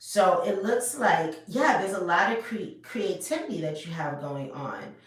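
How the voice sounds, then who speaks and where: Very wide pitch swings at a fairly slow pace, with audible room echo. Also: woman. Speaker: tarot reader. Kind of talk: tarot reading to camera. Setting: home video recording. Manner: loud.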